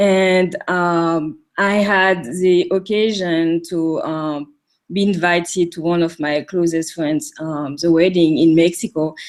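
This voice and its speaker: Speaking very slowly but with hardly any pauses, a woman with a French accent keeps her intonation fairly even. Her pitch is fairly low, and the recording is very clean with a silent background. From French Caribbean island. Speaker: coaching client. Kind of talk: interview testimony. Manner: halting, many fillers.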